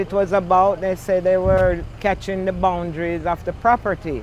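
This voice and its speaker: A woman with a Jamaican accent speaks at a fairly slow pace and a medium pitch, with fairly even intonation. Noticeable background noise runs underneath. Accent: Jamaican, Patois features. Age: 70s. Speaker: community association president and resident. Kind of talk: news interview. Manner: halting.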